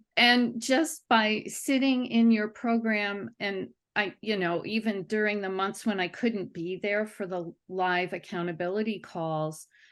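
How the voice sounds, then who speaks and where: Against a quiet background, a woman at a medium pitch talks at a fairly slow pace with hardly any pauses and ordinary pitch variation. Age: 60s. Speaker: cellist and music teacher giving a testimonial. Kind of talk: testimonial interview. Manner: halting, with many fillers and restarts.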